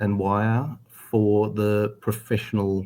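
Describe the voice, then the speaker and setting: Fairly even in intonation, a man talks in an Australian accent. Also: very clean recording, silent background. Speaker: cable company executive. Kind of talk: interview. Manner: hesitant, many fillers.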